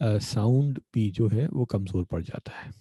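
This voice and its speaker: Somewhat breathy, the voice has a dark, mellow tone. The sound is dry and close with no echo. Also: man. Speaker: workshop presenter on nonprofit law. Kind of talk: online workshop lecture. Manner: halting with many fillers.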